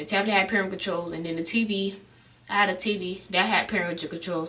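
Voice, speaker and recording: In an American accent, a woman speaks at a very fast pace with a medium pitch and fairly even intonation, amid audible room echo and noticeable background noise. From South Florida, Broward County. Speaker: vlogger. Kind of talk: storytime vlog. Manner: casual, with stutters and fillers.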